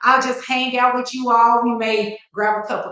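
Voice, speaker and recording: With a Texas accent, a high-pitched woman speaks at a fairly slow pace, with audible room echo. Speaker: attorney and legal educator. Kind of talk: live-stream legal talk. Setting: live stream.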